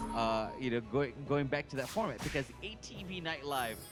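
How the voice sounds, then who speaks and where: Medium-pitched male speech accompanied by background music. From Hawaii. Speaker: gaming YouTuber. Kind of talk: casual commentary. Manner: hesitant, many fillers.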